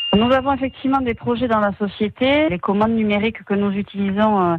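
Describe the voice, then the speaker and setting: It is an ordinary speaking voice, delivered fairly fast. Its pitch shifts in a typical way. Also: woman. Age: 30s. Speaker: quality manager at a precision engineering company. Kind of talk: radio company profile interview.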